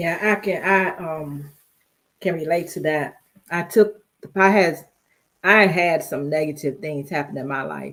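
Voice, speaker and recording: A woman with fairly low pitch and ordinary pitch variation speaks at a fairly slow pace. She leaves long, frequent pauses, and her loudness swings widely. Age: 60s. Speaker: live stream guest. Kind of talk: casual chat.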